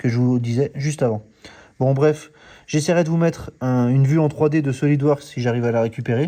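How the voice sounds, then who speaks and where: A man's dark, mellow voice, fairly high in pitch, at a fairly quick pace with ordinary pitch variation and a quiet background. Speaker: car restoration YouTuber. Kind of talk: DIY workshop vlog. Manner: soft-spoken; halting.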